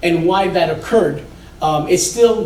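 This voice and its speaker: A man with a high pitch speaks loudly over noticeable background noise, with audible room echo. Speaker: building inspection executive. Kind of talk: presentation to a community meeting. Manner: casual, energetic.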